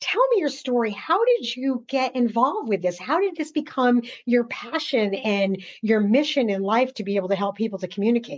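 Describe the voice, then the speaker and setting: High in pitch, a woman speaks at a moderate pace with lively intonation and hardly any pauses. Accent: New York. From US, New York. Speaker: podcast host. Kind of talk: interview. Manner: laughs while talking.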